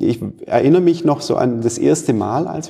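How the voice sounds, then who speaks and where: Noticeable background noise runs through the clip. The man talks at a moderate pace. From Stuttgart area, Swabia. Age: 40s. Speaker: manufacturing executive. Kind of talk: interview.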